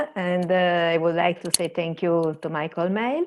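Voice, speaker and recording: A woman speaks in an Italian accent. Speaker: museum services manager. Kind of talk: conference presentation. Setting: video call. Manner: halting.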